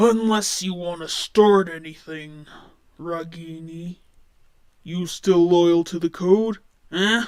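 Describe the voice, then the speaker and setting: A man does a put-on, raspy character voice at a high pitch, going at a fairly slow pace with long, frequent pauses. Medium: read story. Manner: bullying, coarse.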